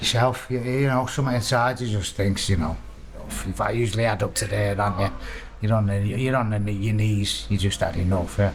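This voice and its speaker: A man speaks at a fairly quick pace in a fairly low pitch, with fairly even intonation, very even loudness and audible room echo. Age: 60s. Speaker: prisoner in addiction recovery. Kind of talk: casual chat. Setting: prison recovery wing. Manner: halting.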